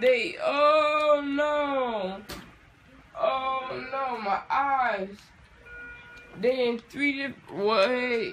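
A woman's high voice with long, frequent pauses and music in the background. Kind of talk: groggy rambling chat. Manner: groggy, slurred post-anesthesia confusion. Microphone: phone near.

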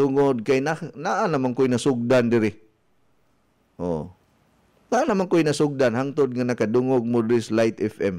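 A man's medium-pitched, dark, mellow voice with lively intonation, at a moderate pace broken by long, frequent pauses. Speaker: radio health coach and wellness consultant. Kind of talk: radio health talk show. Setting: radio studio. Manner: animated.

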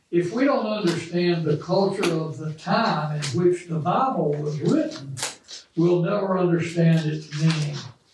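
Over light background noise and audible room echo, a man speaks at a fairly slow pace with a high pitch and ordinary pitch variation. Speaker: bible study teacher. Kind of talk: lecture. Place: classroom.

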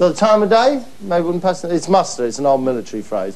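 Very wide pitch swings mark a man's fairly quick speech. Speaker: TV presenter. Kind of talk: comic monologue to camera. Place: studio. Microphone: lapel.

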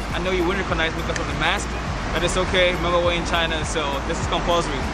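Words come at a very fast pace with music in the background. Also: man. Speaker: vlogger. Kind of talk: casual vlog chat. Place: street.

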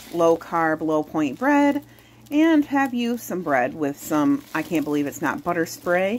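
The pitch swings very widely at a fairly slow pace. There is light background noise. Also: woman. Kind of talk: cooking tutorial. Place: kitchen. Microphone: phone near.

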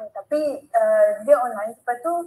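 A woman's high-pitched voice shows ordinary pitch variation as she speaks. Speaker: webinar participant. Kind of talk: question and answer. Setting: video call. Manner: halting. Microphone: video call.

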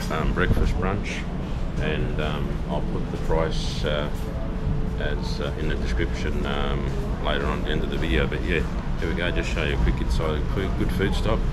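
Music plays behind a man who speaks at a moderate pace with ordinary pitch variation. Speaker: vlogger. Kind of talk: casual vlog chat. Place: cafe. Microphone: phone near.

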